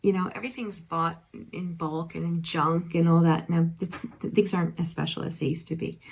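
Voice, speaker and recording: A woman's somewhat breathy, fairly low voice with an American accent, fairly quick in pace and fairly even in intonation. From eastern Pennsylvania, Allentown area. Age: 50s. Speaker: nurse and online reseller vlogger. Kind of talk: casual haul vlog. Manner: hesitant, many fillers.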